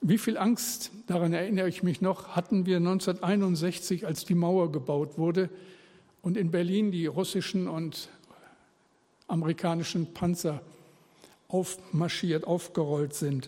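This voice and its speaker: Very slow delivery with long, frequent pauses. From northern Germany. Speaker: pastor. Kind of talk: sermon.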